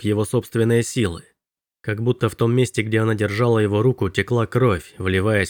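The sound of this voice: Fairly even intonation in an unforced reading voice, the background quiet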